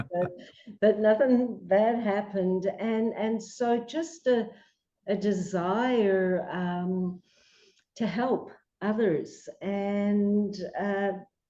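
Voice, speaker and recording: Very slowly and in a dark, mellow tone, a woman with an Australian accent speaks at a medium pitch with ordinary pitch variation. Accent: Australian, lasting. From Australia, Melbourne. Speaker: psychologist. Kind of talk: interview.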